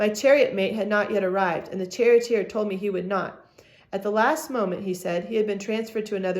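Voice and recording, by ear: Someone reads aloud in a natural voice. The intonation is fairly even.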